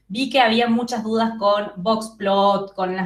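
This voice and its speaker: Noticeable background noise sits behind a voice with a strong Córdoba Argentine accent. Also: woman. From Argentina, Córdoba. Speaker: psychology tutor. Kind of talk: study group review session.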